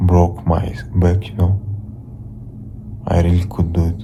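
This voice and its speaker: Fairly even intonation in a Russian accent, with audible room echo and noticeable background noise. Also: man. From Russia (Ufa). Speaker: vlogger. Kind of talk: casual vlog monologue. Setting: home, lying on the floor. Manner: halting, repetitive.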